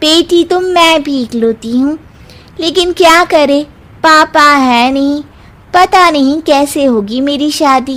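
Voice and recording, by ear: A woman puts on a cartoonish character voice, pitched high and delivered at a fairly slow pace.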